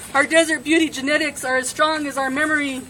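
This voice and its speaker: A woman's raised, projected voice, high-pitched and monotone, flat in intonation, against noticeable background noise. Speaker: activist. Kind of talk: spoken word poetry performance. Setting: live gathering.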